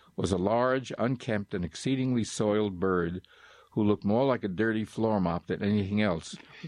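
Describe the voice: Someone reads aloud plainly, the pitch moving up and down in an ordinary way.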